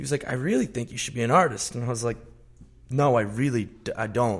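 With a plain, everyday voice, a man talks at a fairly quick pace, medium in pitch and with ordinary pitch variation. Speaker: pop singer-songwriter. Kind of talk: casual interview. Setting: studio.

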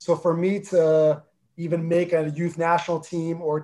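Speaking in a New Jersey accent, a man keeps a fairly high pitch and a flat, monotone intonation. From North New Jersey, US (Armenian family). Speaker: former pro soccer player, club executive. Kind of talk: interview.

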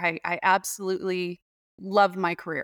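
A woman speaks at a medium pitch with an American accent. The recording is very clean with a silent background, and the sound is dry and close with no echo. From Arizona (Tempe). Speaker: water policy researcher and professor. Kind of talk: interview. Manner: hesitant with frequent fillers.

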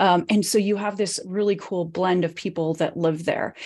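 On a very clean recording with a silent background, a woman with an American accent speaks at a moderate pace in a dark, mellow tone. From western US (Nevada, Colorado, California). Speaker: business speaker and author. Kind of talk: interview.

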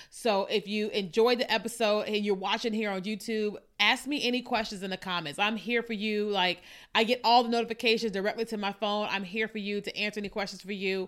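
A woman's fairly high, animated voice at a fairly quick pace. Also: very clean recording, silent background. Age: 40s. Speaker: podcast host and social media marketing coach. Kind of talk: casual monologue podcast.

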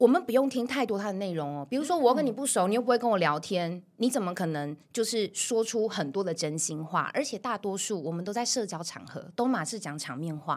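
A woman speaks in an animated tone at a fairly quick pace, with hardly any pauses and very wide pitch swings. The recording is very clean with a silent background. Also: medium pitch for a woman. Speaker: voice coach. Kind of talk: interview chat with voice tutorial.

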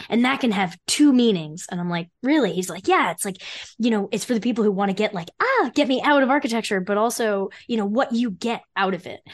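A woman's normal speaking voice with an American accent, fairly high pitch, lively intonation and a fairly quick pace. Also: hardly any pauses. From New Jersey, Freehold. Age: 30s. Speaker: architect and career consultant. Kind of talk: interview conversation.

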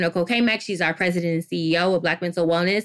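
A woman speaks at medium pitch with an American accent. Her pitch varies in an ordinary way. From Detroit, Michigan, US. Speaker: clinical psychologist. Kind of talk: interview.

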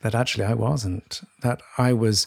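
In a very clean recording with a silent background, a plain, everyday voice moves at a fairly slow pace with ordinary pitch variation. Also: man. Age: 60s. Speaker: journalist and podcast co-host. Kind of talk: conversational interview.

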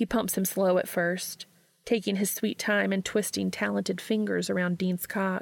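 A natural reading voice carries the whole clip.

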